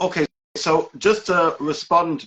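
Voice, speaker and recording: This man has a high-pitched voice. He speaks with a British accent. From UK. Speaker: rabbi and educator. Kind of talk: interview.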